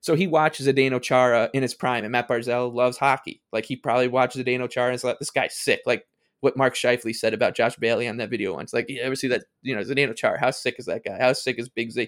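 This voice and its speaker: A man at medium pitch, talking very fast with hardly any pauses and fairly even intonation. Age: 30s. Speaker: hockey podcast guest. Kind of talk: casual chat. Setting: remote call.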